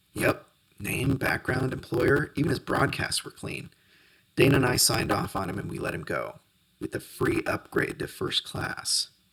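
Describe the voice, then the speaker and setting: A raspy, put-on character voice. It moves along at a moderate pace. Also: man. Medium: read story.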